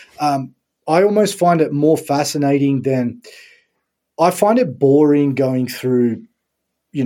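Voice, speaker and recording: A man with an Australian accent at a fairly high pitch, very slow in pace with long, frequent pauses, with a dark, mellow tone and lively intonation, on a very clean recording with a silent background. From Sydney, Australia. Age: 30s. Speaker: strength and conditioning coach. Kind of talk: casual interview chat.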